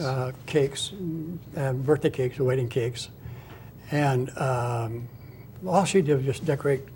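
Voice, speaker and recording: With a dark, mellow, somewhat breathy tone, a man talks at a fairly slow pace with ordinary pitch variation. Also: medium pitch for a man. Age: 80s+. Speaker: author and retired baker. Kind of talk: interview answer.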